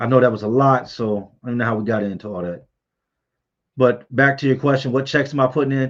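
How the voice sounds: This man's pitch is medium. He speaks at a fairly quick pace. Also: ordinary pitch variation.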